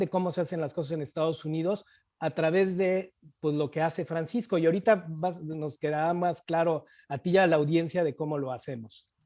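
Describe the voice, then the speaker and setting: A man speaks at a high pitch with a dark, mellow tone against a quiet background. His pace is moderate, and his pitch variation is ordinary. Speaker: real estate investor. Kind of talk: interview.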